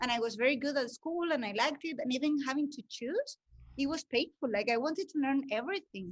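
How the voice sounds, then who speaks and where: A woman with a Spanish accent, high pitch, very fast pace and lively intonation. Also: dry, close sound with no echo. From Spain. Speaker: breathwork facilitator and language teacher. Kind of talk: interview. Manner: hesitant, many fillers.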